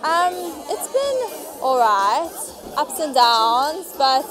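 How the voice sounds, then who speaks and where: A high-pitched woman amid audible room echo, with music in the background. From South Africa. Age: 20s. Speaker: recent graduate. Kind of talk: street interview. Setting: outdoors. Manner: casual.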